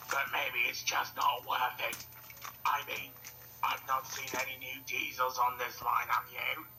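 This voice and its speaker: Over clear background noise and rumbling, a man does a put-on character voice at a moderate pace. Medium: audio drama. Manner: grumbling.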